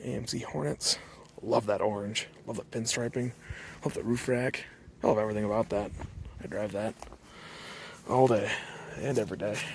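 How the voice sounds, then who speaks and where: Someone whispers breathily in an American accent at a fairly quick pace. Long pauses come often. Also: man. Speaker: car hobby vlogger. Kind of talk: casual walkaround vlog narration. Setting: outdoors in a junkyard. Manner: whispering.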